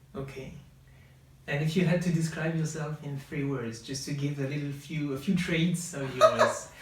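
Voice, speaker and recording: At a moderate pace and a fairly high pitch, a man speaks with fairly even intonation over noticeable background noise and audible room echo. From northern France. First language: French. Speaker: podcast co-host. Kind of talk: casual chat. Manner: hesitant, many fillers.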